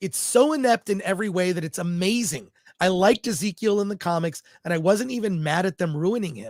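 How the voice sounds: It is a natural reading voice. Pitch variation is ordinary.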